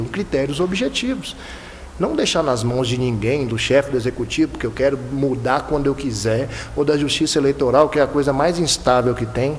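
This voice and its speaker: There is noticeable background noise behind this man. He talks at a fairly quick pace with a fairly high pitch. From Bahia–Minas Gerais border, Brazil. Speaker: electoral prosecutor. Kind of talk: panel talk. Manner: repeats words, halting at times.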